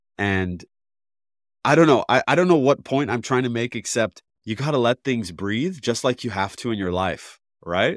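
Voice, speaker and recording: A man talks at a moderate pace in a plain, everyday voice, medium in pitch, with lively intonation. The recording is very clean, with a silent background and a dry, close sound that has no echo. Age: 30s. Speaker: podcast host, former filmmaker. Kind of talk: casual interview chat.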